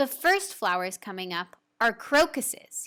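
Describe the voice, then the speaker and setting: In a put-on character voice, a woman with a fairly high pitch moves through very wide pitch swings at a moderate pace. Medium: read story. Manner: gentle, warm.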